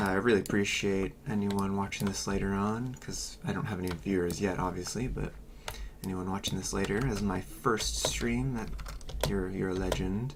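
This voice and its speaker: Moderate-paced speech with noticeable background noise. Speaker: gaming streamer. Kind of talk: casual livestream chat. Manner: loud; hesitant, many fillers.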